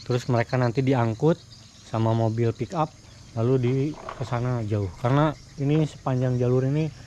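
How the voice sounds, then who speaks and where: A man talks at a moderate pace in a medium pitch, with fairly even intonation. Noticeable background noise is present. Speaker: motovlogger. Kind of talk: vlog narration while touring. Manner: casual, halting with fillers.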